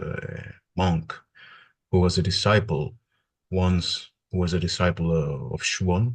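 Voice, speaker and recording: Pausing long and often, a man with a very deep, low, somewhat breathy voice speaks at a fairly slow pace with ordinary pitch variation. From Greece (Athens). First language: Greek. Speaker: religious studies PhD student. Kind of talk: interview conversation. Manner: halting, many hesitations.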